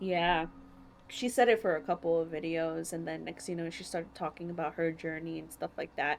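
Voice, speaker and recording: A woman's plain, everyday voice, fairly low in pitch, with fairly even intonation. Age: 20s. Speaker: podcast host. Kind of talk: casual chat.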